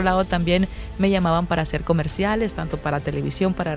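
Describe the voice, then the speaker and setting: A woman with a Nicaraguan accent speaks at a fairly low pitch while music plays in the background. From Nicaragua, Masaya. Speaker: radio announcer and journalist. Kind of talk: interview answer.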